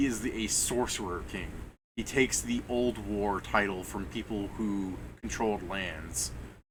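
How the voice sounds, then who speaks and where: Vocal fry runs through fairly slow speech with ordinary pitch variation and audible room echo. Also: man. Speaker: game master. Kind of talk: tabletop game session. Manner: casual, halting.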